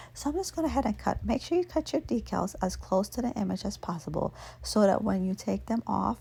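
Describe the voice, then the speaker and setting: A soft-spoken woman at a fairly quick pace. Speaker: nail art hobbyist / vlogger. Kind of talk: nail tutorial talking to camera, ASMR.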